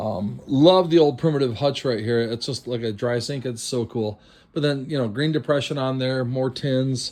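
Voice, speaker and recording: At a fairly slow pace, a man talks at medium pitch with ordinary pitch variation, an ordinary speaking voice. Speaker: estate sale liquidator. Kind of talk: walkthrough video tour.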